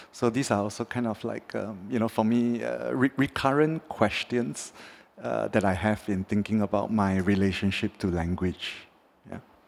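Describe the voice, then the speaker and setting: Speaking with a Mandarin accent, a man of fairly low pitch keeps a moderate pace. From Singapore. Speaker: artist. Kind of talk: panel discussion. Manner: halting, with delays.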